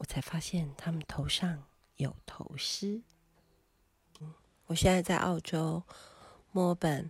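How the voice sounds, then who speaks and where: A somewhat breathy woman with a fairly low pitch, ordinary pitch variation and a very slow pace. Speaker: travel podcaster. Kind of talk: personal travel narration. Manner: halting with many fillers.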